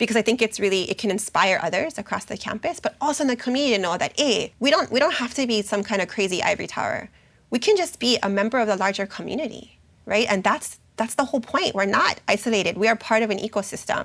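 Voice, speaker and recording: A woman with a Hawaiian accent, fairly high pitch, lively intonation and a very fast pace. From Hawaii, Oahu. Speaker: university program officer and educator. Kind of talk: interview. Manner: hesitant, many fillers.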